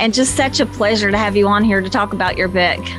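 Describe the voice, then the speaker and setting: A woman speaks with a West Virginian accent. Noticeable background noise sits behind her. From West Virginia (Mingo County, Appalachia). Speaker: talk show host. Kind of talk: interview.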